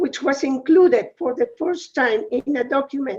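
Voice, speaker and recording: A woman speaks at a high pitch with a Uruguayan accent. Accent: non-American, Uruguayan Spanish. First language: Spanish. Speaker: women's organization UN representative. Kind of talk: webinar talk.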